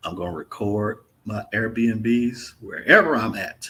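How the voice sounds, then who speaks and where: This man has a medium pitch and speaks with a Mississippi accent. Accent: Mississippi Southern. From Mississippi, US South. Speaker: travel vlogger. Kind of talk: live stream Q&A chat. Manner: casual, laid-back.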